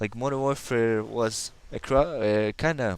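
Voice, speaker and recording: A man with a slight Russian accent speaks at a fairly slow pace. His pitch is medium with ordinary variation. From Kazakhstan. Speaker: gamer. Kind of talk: gameplay commentary. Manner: halting.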